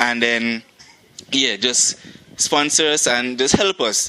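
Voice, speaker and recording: A man with a Montserratian accent and ordinary pitch variation, over noticeable background noise. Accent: Montserratian Caribbean English. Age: 20s. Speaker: track athlete and club president. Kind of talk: interview. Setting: outdoors.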